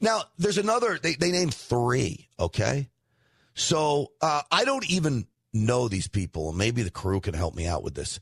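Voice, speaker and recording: A man's somewhat breathy, medium-pitched voice with an American accent, very wide pitch swings and a moderate pace, in a dry, close sound with no echo. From New York. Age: 50s. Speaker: talk radio host. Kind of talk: political commentary.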